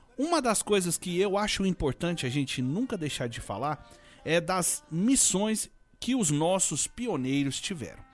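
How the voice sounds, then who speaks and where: Over music in the background, a man speaks at a fairly slow pace. His pitch is high, with very wide swings. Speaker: radio presenter. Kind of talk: live radio show presenting.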